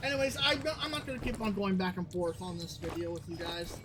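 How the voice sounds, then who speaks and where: A woman speaking amid noticeable background noise. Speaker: gaming YouTuber. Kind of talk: game commentary. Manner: halting, repeats words.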